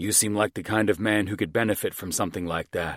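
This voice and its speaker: A man growls out a put-on character voice, fairly low in pitch, at a very fast pace with fairly even intonation. The sound is dry and close with no echo, and the recording is very clean over a silent background. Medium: read story. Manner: smug, slick salesman patter.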